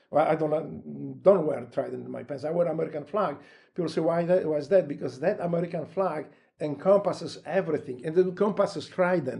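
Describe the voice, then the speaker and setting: Talking at a very fast pace in a Polish accent, a man with a fairly high pitch, a dark, mellow tone and vocal fry keeps his intonation fairly even. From Poland. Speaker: retired Navy SEAL and author. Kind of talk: casual interview. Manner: halting.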